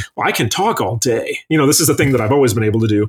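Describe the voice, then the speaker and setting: A man's very fast, somewhat breathy, medium-pitched speech with an American accent and ordinary pitch variation. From northern Michigan. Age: 40s. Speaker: chef. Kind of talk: casual chat.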